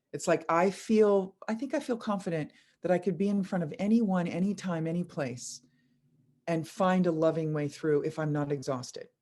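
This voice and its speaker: A woman with a fairly low voice and a dark, mellow tone speaks with lively intonation. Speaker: spiritual teacher. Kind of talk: spiritual talk to live online audience. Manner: slow; casual, filler-heavy.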